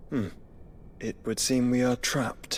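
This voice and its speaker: A put-on character voice sits at a low-to-middle pitch and moves at a moderate pace. Background noise is clearly audible. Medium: video game. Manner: calm, measured.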